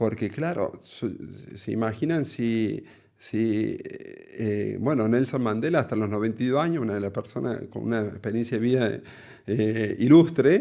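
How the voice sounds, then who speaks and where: A man talks at a medium pitch with a dark, mellow tone. His pitch varies in an ordinary way, and his pace is fairly slow. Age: 40s. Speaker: cardiologist. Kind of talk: interview conversation. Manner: halting, many fillers.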